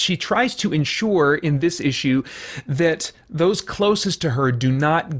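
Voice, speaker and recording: With lively intonation, a man talks against a quiet background. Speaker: comics reviewer. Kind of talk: commentary. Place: home room.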